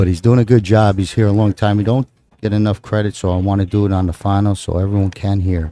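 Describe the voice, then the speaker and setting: A man's fairly low, dark, mellow voice in a strong New Jersey accent, on a very clean recording with a silent background. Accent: heavy New Jersey. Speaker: pool commentator. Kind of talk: live commentary. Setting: commentary booth at live event. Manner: casual, conversational.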